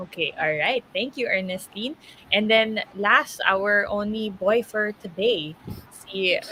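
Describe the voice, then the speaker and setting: Speaking at a very slow pace, a woman uses a medium pitch and ordinary pitch variation over noticeable background noise. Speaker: radio host. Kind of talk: interview.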